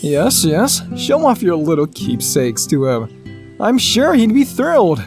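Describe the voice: A man's put-on character voice, high-pitched for a man, with very wide pitch swings, a slightly mellow tone and a slow pace, faint music in the background.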